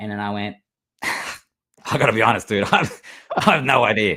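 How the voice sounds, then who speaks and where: A man talks at a moderate pace with an Australian accent. His pitch sits fairly low. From Australia, Melbourne. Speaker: LEGO builder and content creator. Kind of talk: casual interview chat.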